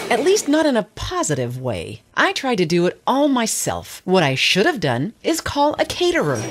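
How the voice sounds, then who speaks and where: A woman talks at a moderate pace with hardly any pauses. Her loudness stays very even. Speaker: voice actor. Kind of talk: casual commercial narration, harried storytelling. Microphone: studio mic.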